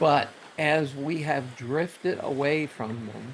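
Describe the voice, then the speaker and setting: A man with an American accent speaks with ordinary pitch variation against noticeable background noise. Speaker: Bible teacher. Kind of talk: devotional talk. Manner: stuttering.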